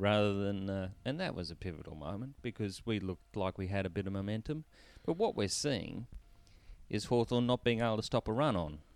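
A fairly low-pitched man with an Australian accent at a fairly quick pace, with ordinary pitch variation, on a very clean recording with a silent background. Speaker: co-host, football fan. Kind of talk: casual banter, sports recap. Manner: joking, teasing.

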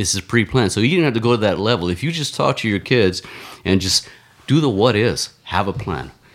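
Lively in intonation, an ordinary speaking voice goes along fairly quickly. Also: man, fairly low pitch for a man. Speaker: marathon runner and ex-Marine. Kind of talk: casual chat. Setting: studio.

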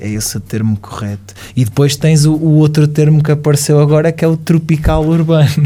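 A man talks at a fairly quick pace and a fairly high pitch. Noticeable background noise runs underneath. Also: ordinary pitch variation. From Portugal, Caldas da Rainha. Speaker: radio presenter. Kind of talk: casual interview chat. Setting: studio.

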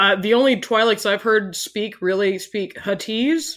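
The woman's voice sits at a medium pitch. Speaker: tabletop game player. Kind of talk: tabletop roleplaying podcast.

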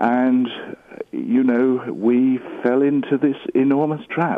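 At a very slow pace, a man with a medium pitch speaks in lively intonation. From England, Buckinghamshire. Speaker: abuse survivor. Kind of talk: interview testimony.

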